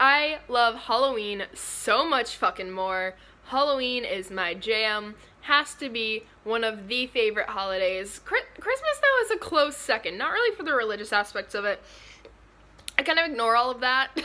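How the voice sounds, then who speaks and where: A woman talks with lively intonation at a moderate pace. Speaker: vlogger. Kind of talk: casual vlog chat. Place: home room. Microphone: phone near.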